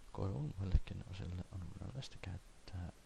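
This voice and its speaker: The pace is very slow. A man whispers throughout. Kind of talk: encyclopedia reading. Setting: cheap home microphone. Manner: soft-spoken.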